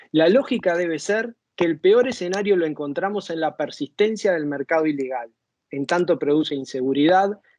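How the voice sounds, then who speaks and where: With an unremarkable speaking voice, a man talks at a moderate pace in a fairly high pitch with ordinary pitch variation. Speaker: former drug policy official. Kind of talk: conference talk. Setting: virtual conference.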